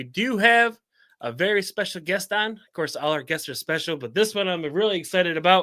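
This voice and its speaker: A man's raised, projected voice, high-pitched, bright, sharp and animated, at a fairly quick pace in a very clean recording with a silent background. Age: 40s. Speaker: podcast host. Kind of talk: casual interview chat.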